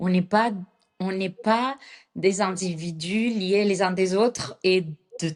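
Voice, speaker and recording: With a non-native accent, a woman speaks very slowly at medium pitch with ordinary pitch variation. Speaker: astrologer and pharmaceutical chemist. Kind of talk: interview answer.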